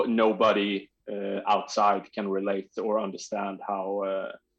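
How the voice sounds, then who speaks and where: Fairly low male voice with a Swedish accent, flat and monotone, fairly slow and with hardly any pauses. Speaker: trials bike rider. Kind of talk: podcast interview. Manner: halting, searching for words.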